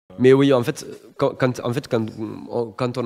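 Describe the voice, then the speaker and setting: A man is speaking. His pace is fairly quick. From southwest France (Toulouse, Montauban). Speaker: podcast co-host, tabletop role-player. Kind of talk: casual interview chat. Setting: on location in a château. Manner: halting, many restarts and fillers.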